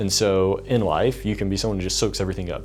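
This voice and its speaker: Noticeable background noise fills the space as a speaker with an American accent races along at a very fast pace. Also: man. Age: 20s. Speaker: videographer and filmmaker. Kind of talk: casual talk to camera.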